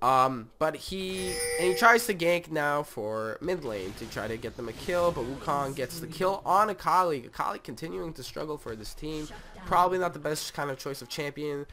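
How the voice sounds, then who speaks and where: A fairly high-pitched man's voice with very wide pitch swings over noticeable background noise. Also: moderate pace. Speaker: gamer. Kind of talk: gameplay commentary. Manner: casual.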